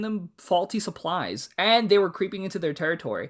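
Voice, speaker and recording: With an American accent, the voice sounds bright, sharp and animated on a very clean recording with a silent background. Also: woman. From US, Mexican American family. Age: 20s. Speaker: podcast co-host. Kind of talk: casual chat. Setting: home studio.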